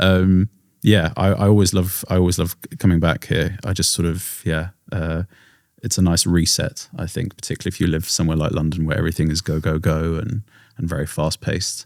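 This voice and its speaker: In an English accent, a man with a very deep, low voice talks at a fairly quick pace with fairly even intonation, on a very clean recording with a silent background. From England. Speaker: singer-songwriter. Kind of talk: podcast interview. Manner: trailing off, hesitant with fillers.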